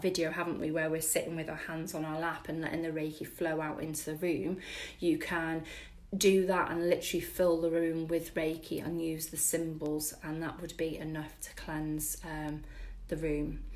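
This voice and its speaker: A woman talks at a moderate pace in a fairly low pitch. Her intonation is monotone and flat, and room echo is audible. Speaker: spiritual wellness teacher. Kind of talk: live-stream workshop. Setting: live stream with viewer comments.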